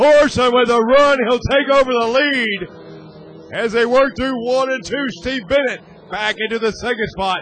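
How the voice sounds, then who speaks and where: Against noticeable background noise, a man with an extremely high pitch talks at a fairly slow pace with ordinary pitch variation and hardly any pauses. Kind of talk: live race commentary.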